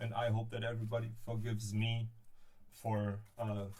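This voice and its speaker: Somewhat breathy, the voice carries a German accent and moves at a moderate pace. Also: man. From Berlin, Germany. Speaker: DIY prop maker. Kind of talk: live stream crafting tutorial. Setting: live stream. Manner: halting, hesitant.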